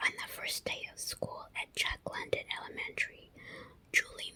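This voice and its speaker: The voice is a whisper at a moderate pace. Noticeable background noise accompanies it. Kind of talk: ASMR book reading. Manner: whispered.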